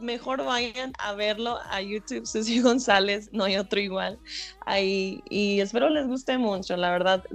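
At a fairly slow pace, a woman of medium pitch speaks with ordinary pitch variation amid noticeable background noise. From Texas. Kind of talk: radio interview. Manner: halting, with repeated words and fillers.

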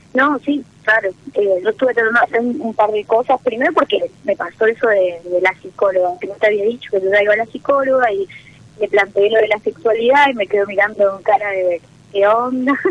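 Over noticeable background noise, a woman talks at a fairly quick pace in a fairly high pitch with ordinary pitch variation, the sound dry and close with no echo. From Misiones, Argentina. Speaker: caller. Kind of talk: personal call-in talk. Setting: phone call.

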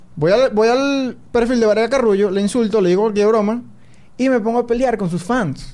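This man talks at a fairly quick pace with a high pitch, a dark, mellow tone and ordinary pitch variation. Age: 20s. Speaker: podcast host and sports/esports commentator. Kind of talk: casual chat. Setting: studio.

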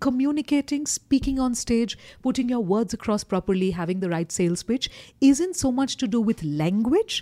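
A woman with an Indian accent speaks at a moderate pace in a fairly high pitch with a dark, mellow tone. Her pitch swings very widely on a very clean recording with a silent background. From eastern India. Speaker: corporate trainer and communication coach. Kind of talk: casual interview chat. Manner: straightforward, assertive.

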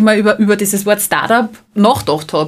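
A woman's fairly high, fairly quick voice in a Salzburg accent. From Austria, Salzburg. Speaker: startup founder. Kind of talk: interview.

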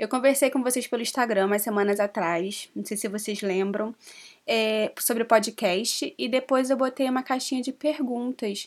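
An unremarkable speaking voice at a fairly slow pace, with ordinary pitch variation and a very clean recording over a silent background. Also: woman. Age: 20s. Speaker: podcast co-host, social media influencer. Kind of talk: casual chat.

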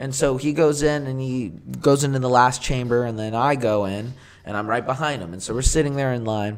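A man's medium-pitched voice with ordinary pitch variation, a fairly quick pace and noticeable background noise. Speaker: podcast host. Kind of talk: casual chat. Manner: casual, joking.

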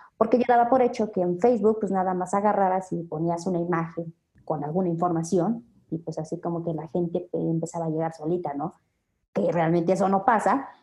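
A woman's fairly low-pitched voice at a fairly quick pace, with ordinary pitch variation and music in the background. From Mexico City. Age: 20s. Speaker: health business marketer. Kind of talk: interview.

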